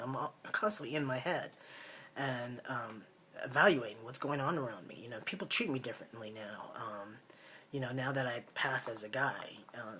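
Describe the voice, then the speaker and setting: Noticeable background noise fills the recording. The man in it keeps a moderate pace. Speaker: vlogger. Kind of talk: personal video diary. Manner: halting, many fillers.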